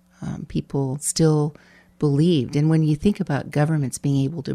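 A woman speaks in a very deep, low voice with a dark, mellow tone. Her intonation is fairly even, and the sound is dry and close with no echo. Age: 60s. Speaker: former mayor. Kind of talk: casual chat.

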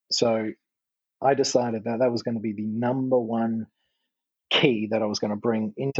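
A man with an Australian accent at a moderate pace, his intonation monotone and flat. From Western Australia, Margaret River. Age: 30s. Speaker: golf coach. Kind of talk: podcast interview.

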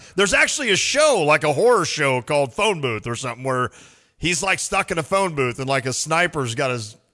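A man speaks loudly in a bright, sharp tone. His fairly high pitch makes very wide swings. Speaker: sports radio host. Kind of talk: casual sports talk. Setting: studio.

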